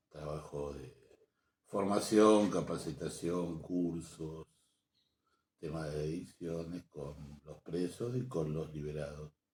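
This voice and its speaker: A man with a very deep, low pitch speaks at a very slow pace, his loudness swinging widely. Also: ordinary pitch variation. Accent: Argentine. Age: 60s. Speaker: programmer and social activist. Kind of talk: interview. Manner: halting.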